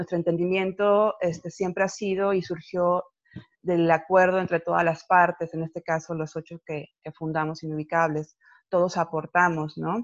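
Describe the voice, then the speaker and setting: A woman speaks in a flat monotone at a fairly low pitch. The sound is dry and close with no echo, against a quiet background. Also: moderate pace. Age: 40s. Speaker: poet, collective founder. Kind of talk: casual interview. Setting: video call.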